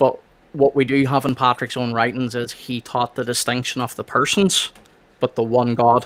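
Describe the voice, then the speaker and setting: In an Irish accent, a man speaks at a moderate pace and medium pitch with a bright, sharp tone, the sound dry and close with no echo. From Northern Ireland. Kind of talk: casual discussion.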